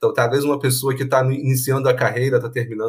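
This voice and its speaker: A man speaks in a somewhat breathy voice. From Iran. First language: Persian (speaking Portuguese). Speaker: university professor. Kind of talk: casual chat.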